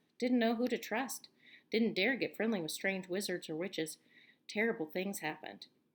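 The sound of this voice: Reading in an unforced voice, the speaker shows ordinary pitch variation.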